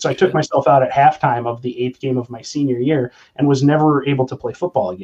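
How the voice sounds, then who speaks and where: Speaking at a very fast pace with an American accent, a man has a fairly high pitch, a dark, mellow tone and ordinary pitch variation. His voice is somewhat breathy, and the sound is dry and close with no echo. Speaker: kettlebell trainer. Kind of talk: casual chat.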